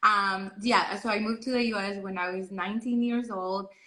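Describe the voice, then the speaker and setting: A woman with a Salvadoran accent speaks at a medium pitch and a moderate pace, her tone bright and sharp, her intonation fairly even. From El Salvador. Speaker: PhD student. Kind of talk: live interview.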